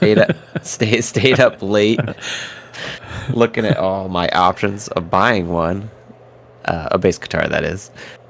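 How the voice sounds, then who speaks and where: A man with a fairly low pitch speaks at a fairly slow pace with long, frequent pauses and ordinary pitch variation, over noticeable background noise. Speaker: video game podcast co-host. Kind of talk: casual chat. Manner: loud. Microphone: audio issues, replugged equipment.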